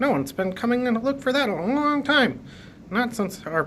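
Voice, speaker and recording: A put-on character voice, fairly high in pitch and at a fairly quick pace, over clear background noise. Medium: read story. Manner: quirky, nonsense sounds.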